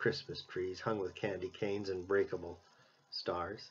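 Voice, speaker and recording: The man's delivery moves at a moderate pace. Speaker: minister giving an Advent reflection. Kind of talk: Advent sermon reflection. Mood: calm, reflective. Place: home room. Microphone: webcam.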